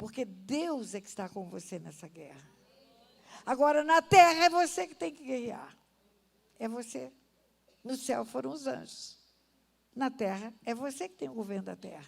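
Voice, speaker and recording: A woman speaks at a fairly slow pace in a fairly high voice, her pitch swinging very widely. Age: 70s. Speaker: pastor. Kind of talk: sermon. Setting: church. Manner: animated.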